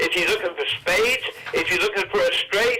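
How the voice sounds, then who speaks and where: A man with an American accent at a fairly quick pace, with noticeable background noise. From New Jersey. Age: 90s. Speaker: professional gambler and author. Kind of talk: storytelling in a casual interview.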